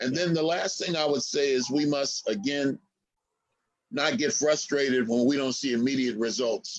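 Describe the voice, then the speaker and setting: A normal speaking voice with an American accent comes at a moderate pace. Its loudness is very even, and its pitch varies in an ordinary way. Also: man, fairly high pitch for a man. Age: 60s. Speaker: historian and activist. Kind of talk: interview.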